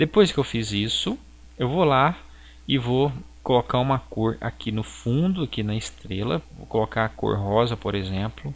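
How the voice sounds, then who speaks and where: Lively intonation colors a man's speech. He talks at a fairly slow pace. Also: medium pitch for a man. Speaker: graphic design teacher. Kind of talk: software tutorial. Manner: halting.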